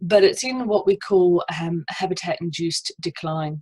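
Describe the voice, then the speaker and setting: The speaker has an Australian accent and a somewhat breathy voice. The sound is dry and close with no echo. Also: woman. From South Australia. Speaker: estuarine ecologist and PhD student. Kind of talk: conference presentation.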